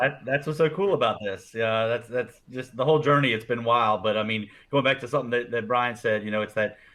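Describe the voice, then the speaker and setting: A man talks at a fairly quick pace in a normal speaking voice. His pitch sits at a medium level with ordinary pitch variation. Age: 40s. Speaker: networking organization co-founder, former banker. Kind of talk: podcast interview conversation.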